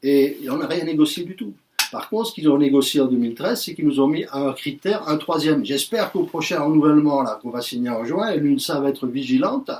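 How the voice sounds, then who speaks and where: With lively intonation and a fairly high pitch, a man talks at a very fast pace over noticeable background noise. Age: 60s. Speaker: trade union representative. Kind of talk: union speech to workers. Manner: animated.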